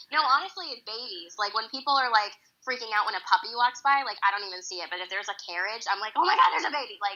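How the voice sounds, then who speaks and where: A fairly high-pitched woman with an American accent, speaking at a very fast pace. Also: lively intonation, big swings in loudness. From Boston area, US. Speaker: Broadway actress. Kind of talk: casual interview chat.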